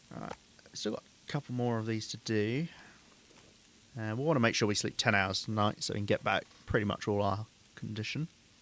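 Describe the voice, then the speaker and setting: Speaking at a fairly quick pace with an English accent, the voice has ordinary pitch variation and long, frequent pauses. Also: man, medium pitch for a man. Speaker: streamer playing a survival game. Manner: casual, joking.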